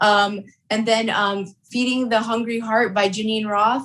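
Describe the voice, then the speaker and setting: With an American accent and a normal speaking voice, a woman speaks at a moderate pace in a fairly high pitch. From US, mainly Michigan; also Colorado, Texas. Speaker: food content creator and performer. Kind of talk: casual interview.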